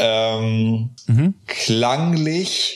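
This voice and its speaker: A man talks at a medium pitch amid noticeable background noise. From northern Germany, north of Bremen. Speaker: music podcast co-host. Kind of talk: casual chat.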